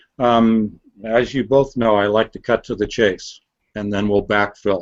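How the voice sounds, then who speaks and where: Using an unremarkable speaking voice, a man speaks at a fairly slow pace with fairly low pitch and fairly even intonation. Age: 60s. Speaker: author and researcher. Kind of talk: casual chat.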